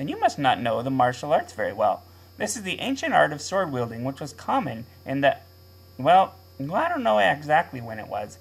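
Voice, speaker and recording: A man speaks in a cartoonish character voice, pitched fairly high. His pace is moderate. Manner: earnest, naive.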